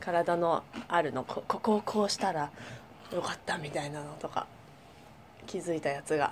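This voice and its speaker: A woman's fairly low-pitched voice with ordinary pitch variation, long and frequent pauses, and noticeable background noise. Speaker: podcast co-host, dancer and company president. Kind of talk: casual chat. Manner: fast.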